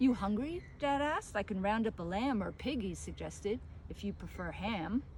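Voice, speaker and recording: A woman speaks with an American accent at a moderate pace. Audible room echo surrounds her voice. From New York City. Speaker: author and poet. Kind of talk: reading aloud.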